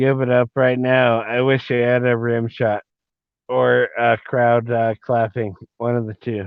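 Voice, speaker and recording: At a fairly slow pace, a man speaks in a medium pitch with monotone, flat intonation. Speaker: guest podcast host. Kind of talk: casual live show sign-off. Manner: slurred, halting.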